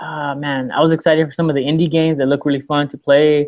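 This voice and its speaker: Fairly high in pitch, a man delivers his words at a fairly quick pace. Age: 20s. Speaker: podcast co-host. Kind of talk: casual chat. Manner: loud; animated.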